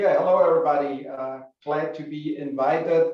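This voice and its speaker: A man with a German accent speaks at a fairly high pitch for a man. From Germany. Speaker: business school alumnus, entrepreneur. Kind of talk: information session talk.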